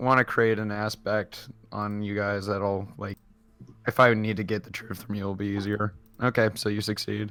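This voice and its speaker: With music in the background, a man speaks at a moderate pace in a fairly low, monotone, flat voice. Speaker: tabletop role-playing game player. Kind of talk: casual game session chat.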